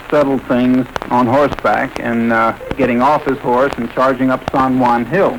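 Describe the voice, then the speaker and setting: Amid noticeable background noise, the speech moves at a moderate pace with monotone, flat intonation. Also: man, medium pitch for a man. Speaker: radio host. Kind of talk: radio interview questions.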